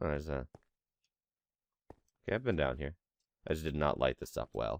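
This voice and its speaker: Relaxed and fairly quick, a man speaks with a very deep, low pitch, vocal fry and ordinary pitch variation. The sound is dry and close with no echo. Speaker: gaming commentator. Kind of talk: casual let's play commentary.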